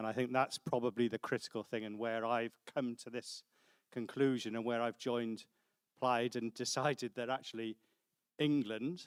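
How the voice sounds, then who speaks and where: A man speaks at a fairly quick pace with monotone, flat intonation. The sound is dry and close, with no echo. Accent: Welsh. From Wales. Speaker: councillor. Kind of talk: panel discussion.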